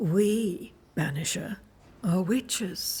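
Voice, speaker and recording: A female-sounding put-on character voice at a medium pitch. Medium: video game. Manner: calm, enigmatic.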